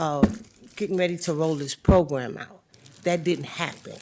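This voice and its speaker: Very deep, low pitch for a woman, at a moderate pace and with fairly even intonation. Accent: American. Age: 60s. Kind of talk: board meeting questioning.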